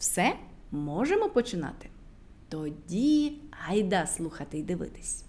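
Speaking at a fairly slow pace, a woman uses a fairly low pitch with big pitch swings. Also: slightly mellow tone.

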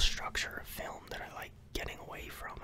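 Soft-spoken and whispering, a man talks at a moderate pace over noticeable background noise. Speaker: home vlogger. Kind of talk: casual vlog chat. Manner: soft close-mic ASMR whisper. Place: home room. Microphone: studio mic.

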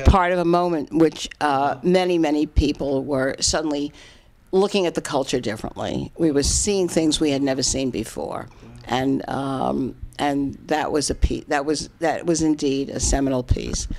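A woman's very deep, low voice in a New York accent, with light background noise. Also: ordinary pitch variation, moderate pace. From Bronx, New York. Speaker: writer and critic. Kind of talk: interview answer. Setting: home apartment. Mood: thoughtful, reflective. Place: home room. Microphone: handheld.

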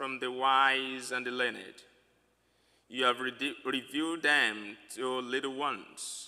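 A man's bright, sharp voice at a very slow pace, over a quiet background. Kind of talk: sermon. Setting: church. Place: church. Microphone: podium.

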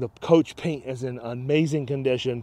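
A man with a dark, mellow tone at a moderate pace, in dry sound with no echo. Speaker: motorhome salesperson. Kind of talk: sales walkaround commentary. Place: open country. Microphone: phone near.

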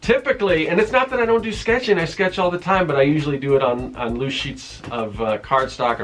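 Faint music plays in the background as a man talks at a fairly quick pace. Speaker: comic artist. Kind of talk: casual vlog chat. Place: home room. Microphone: phone near.

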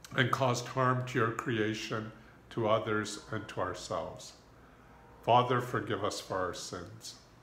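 Fairly slow and fairly even in intonation, a man speaks. Light background noise and audible room echo are present. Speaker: pastor leading prayer. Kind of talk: prayer. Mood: calm, reverent. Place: home room. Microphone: phone near.

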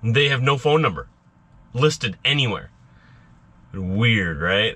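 A man is speaking here. His voice has a bright, sharp tone. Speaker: truck driver vlogger. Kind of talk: casual vlog chat. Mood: mildly frustrated, storytelling. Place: car. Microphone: phone near.

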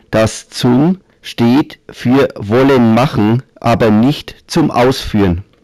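A man's medium-pitched voice with a Franconian accent, in a dry, close sound with no echo. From Middle Franconia, Germany. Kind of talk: humorous dialect story narration.

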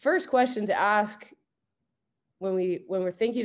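A woman's voice with ordinary pitch variation against a quiet background. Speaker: basketball coach presenting. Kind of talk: lecture. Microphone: video call.

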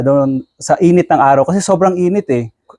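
A man talks at a fairly quick pace in a high pitch with a dark, mellow tone. The sound is dry and close, with no echo. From Bicol, Philippines. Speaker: content creator, OFW. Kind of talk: interview.

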